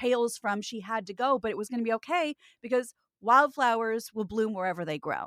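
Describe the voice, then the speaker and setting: Recorded with a dry, close sound and no echo, an ordinary speaking voice with an American accent moves at a moderate pace. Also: woman. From Kansas, US Midwest. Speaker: voiceover artist and podcast co-host. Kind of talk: casual chat.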